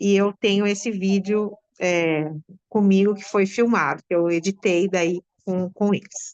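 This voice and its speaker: A woman at medium pitch, speaking at a fairly slow pace. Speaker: school teacher, theatre with students. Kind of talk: interview answer.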